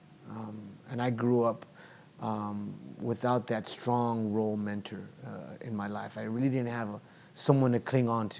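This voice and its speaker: A man with a Spanish accent talks at a fairly slow pace and a medium pitch. His intonation stays fairly even while his loudness swings widely. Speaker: teacher. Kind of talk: interview testimony. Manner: halting.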